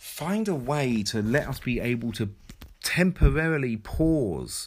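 A man with an English accent speaks at a very slow pace, his pitch swinging very widely. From England. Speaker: podcast host. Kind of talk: solo podcast monologue. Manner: hesitant, many fillers.

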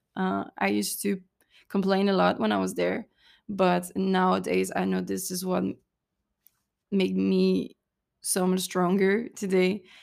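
A woman with a French accent speaks at a fairly slow pace, leaving long, frequent pauses, in a very clean recording with a silent background. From southern France, Cannes. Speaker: podcast host, mental coach. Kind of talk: solo podcast monologue.

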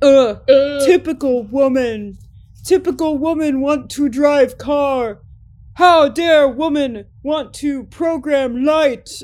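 Using a put-on character voice, a woman speaks very slowly at a high pitch with ordinary pitch variation. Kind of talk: broken, simplistic, dumb. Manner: mocking, belligerent.

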